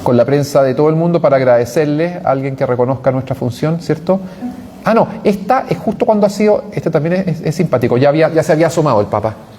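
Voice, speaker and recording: Over noticeable background noise, a man talks at a very fast pace in a fairly high pitch with lively intonation. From Chile. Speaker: priest and journalist. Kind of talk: parish talk with slides. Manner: halting, many fillers.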